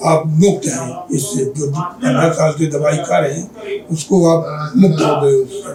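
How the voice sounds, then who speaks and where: There is music in the background as a man speaks at a fairly high pitch. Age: 70s. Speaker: patient. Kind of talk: interview answers.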